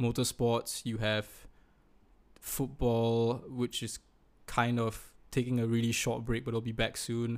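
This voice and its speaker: Recorded very cleanly against a silent background, a man talks at a medium pitch and a moderate pace. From Singapore. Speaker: podcast host. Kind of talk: casual chat between friends.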